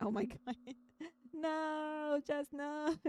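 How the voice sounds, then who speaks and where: Soft-spoken, a woman talks in a dark, mellow tone. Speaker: VTuber streamer playing visual novels. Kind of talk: casual live-stream chat with game text read aloud.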